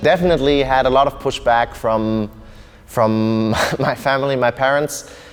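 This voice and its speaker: Male voice at a medium pitch, fairly even intonation, music in the background. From Germany (Bonn), partly Russia and Kenya. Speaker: MMA fighter. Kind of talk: interview testimony.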